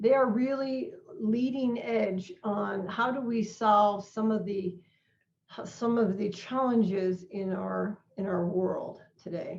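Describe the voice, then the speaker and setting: Her speech comes very slowly. The woman's voice carries some breathiness. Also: medium pitch for a woman, ordinary pitch variation. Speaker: non-profit organization president. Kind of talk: online presentation.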